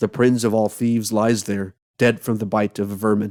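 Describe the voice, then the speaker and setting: Putting on a character voice, a man speaks at a moderate pace and medium pitch with monotone, flat intonation and a dry, close sound with no echo. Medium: read story. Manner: terse, muttering.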